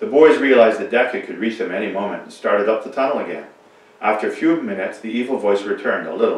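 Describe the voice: This recording is a plain read-aloud passage.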